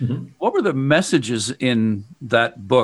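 This is a normal speaking voice: a man with a Canadian accent, medium pitch, talking at a moderate pace. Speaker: podcast host, former radio broadcaster. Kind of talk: interview. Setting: studio.

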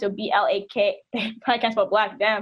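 Here is a woman with an ordinary speaking voice and a fairly high pitch. She talks at a moderate pace. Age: 20s. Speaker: activist and organizer. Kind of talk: radio interview.

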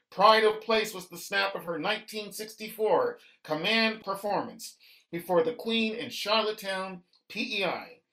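A man's raised, projected voice at a high pitch, very slow pace, fairly even intonation, and big swings in loudness. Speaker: poet and author. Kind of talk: radio interview. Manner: formal.

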